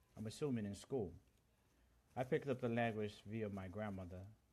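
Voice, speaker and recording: A man speaks with a Central American accent at a moderate pace. The recording is very clean, with a silent background. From Honduras. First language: Garifuna. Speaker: livestream host. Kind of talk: live stream chat. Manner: halting, many fillers.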